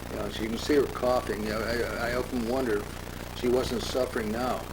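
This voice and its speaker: A man speaks fairly quickly at a medium pitch, in a flat, monotone way. Noticeable background noise and audible room echo surround his voice. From US Midwest, Omaha, Nebraska. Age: 90s. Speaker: family historian. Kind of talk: home movie commentary. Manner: halting.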